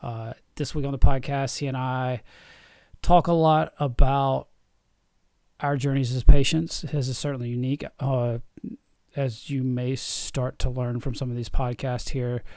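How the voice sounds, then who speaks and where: Pausing long and often, a man at medium pitch speaks with a dark, mellow tone, fairly even intonation and big swings in loudness. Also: fairly slow pace. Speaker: podcast host and vasculitis patient. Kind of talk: podcast intro.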